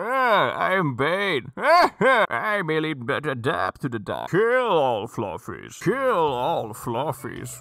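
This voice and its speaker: A man's put-on character voice, fairly high in pitch, with very wide pitch swings and a very slow pace. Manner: menacing.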